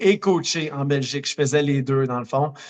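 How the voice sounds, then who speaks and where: A man with a Quebec accent, fairly high pitch and fairly even intonation. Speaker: running coach and marathoner. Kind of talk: podcast interview. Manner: many hesitations (euh).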